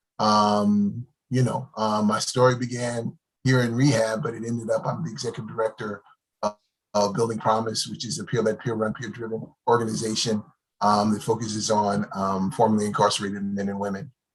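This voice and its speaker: At a fairly quick pace, a man with an American accent uses an unremarkable speaking voice at a fairly low pitch, with fairly even intonation. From New Jersey. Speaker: recovery nonprofit director. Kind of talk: panel discussion.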